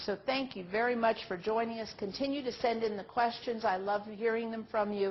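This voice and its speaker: A woman's plain, everyday voice, fairly high in pitch, at a moderate pace. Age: 60s. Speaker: nurse trainer. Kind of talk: online training presentation. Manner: conversational.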